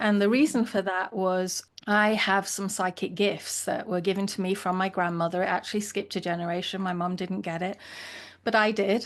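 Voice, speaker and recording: Speaking with an English accent, a woman talks at a medium pitch and a moderate pace. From England. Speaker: leadership consultant and founder. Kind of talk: interview conversation.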